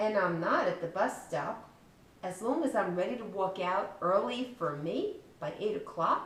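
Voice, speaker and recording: Over noticeable background noise, a woman at medium pitch talks fairly slowly with lively intonation. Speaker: children's book author reading her story aloud. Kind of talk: children's storybook reading.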